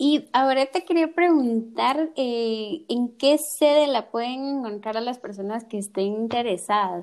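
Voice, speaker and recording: A woman with a high-pitched voice speaks at a fairly slow pace, her intonation lively and her delivery almost free of pauses. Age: 20s. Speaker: podcast host, architect. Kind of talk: casual interview chat.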